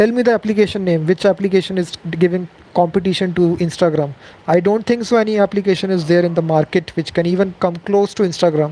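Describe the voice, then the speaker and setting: A high-pitched man with an Indian accent talks very fast in fairly even intonation, with noticeable background noise. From India, Delhi. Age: 20s. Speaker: programming youtuber. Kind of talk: live Q&A stream. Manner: casual with fillers.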